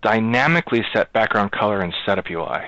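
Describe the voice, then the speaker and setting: No echo colors the dry sound. Behind it, the background is quiet. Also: man. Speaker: software project lead. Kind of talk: online meeting. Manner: fast. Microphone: video call.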